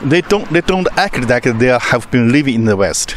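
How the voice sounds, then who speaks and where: A man of medium pitch is heard with noticeable background noise. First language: Chinese. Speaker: channel host. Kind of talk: casual chat. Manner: halting.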